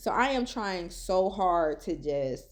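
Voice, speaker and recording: Her tone animated, a woman talks with very wide pitch swings. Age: 30s. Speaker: vlogger. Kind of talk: personal vlog. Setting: in a car.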